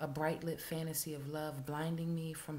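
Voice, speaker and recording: Over light background noise, a woman speaks at a moderate pace with a very deep, low pitch and monotone, flat intonation. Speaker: poet. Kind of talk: spoken word poetry reading. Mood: intense, somber. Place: home room. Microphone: webcam.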